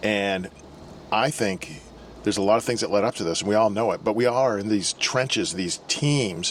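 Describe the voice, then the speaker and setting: A man talks at a moderate pace in a fairly low pitch with ordinary pitch variation. Noticeable background noise runs under his voice. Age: 60s. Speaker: YouTube channel co-host. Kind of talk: casual advice talk.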